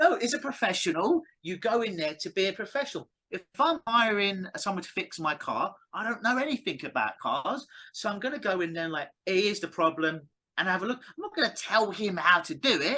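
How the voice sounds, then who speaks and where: A man speaks in a raised, projected voice at a high pitch, with a bright, sharp tone. His pitch swings very widely and his pace is fairly quick. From England. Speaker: clinical hypnotist. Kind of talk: interview. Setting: call.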